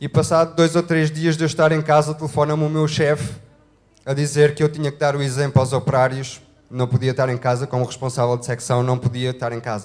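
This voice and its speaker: A fairly high-pitched male voice in a monotone with flat intonation. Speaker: couple telling their life story. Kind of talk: testimony. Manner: halting, many fillers.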